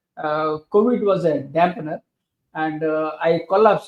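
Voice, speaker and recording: Here a man speaks with an Indian accent. His voice is fairly high with ordinary pitch variation. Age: 60s. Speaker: author and leadership professor. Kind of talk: interview. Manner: halting, many fillers.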